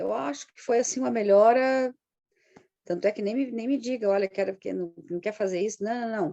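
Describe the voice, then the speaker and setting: With a dark, mellow tone and lively intonation, a woman speaks at a moderate pace. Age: 60s. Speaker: integrative therapist, client giving testimony. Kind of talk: testimony interview.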